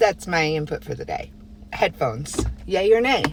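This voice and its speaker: A woman at a moderate pace, over noticeable background noise. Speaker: vlogger. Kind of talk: casual vlog.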